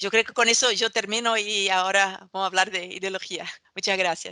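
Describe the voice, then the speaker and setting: Delivered at a fairly quick pace, the voice carries a Portuguese accent. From Brazil. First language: Portuguese (speaking Spanish). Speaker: political scientist. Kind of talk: academic talk. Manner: halting, many fillers.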